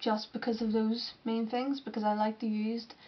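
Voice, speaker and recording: This woman speaks with a Northern Irish accent in a monotone, flat delivery that sounds somewhat breathy. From Northern Ireland, Londonderry. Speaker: alternative model and artist. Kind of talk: Q&A vlog. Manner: casual, slightly halting.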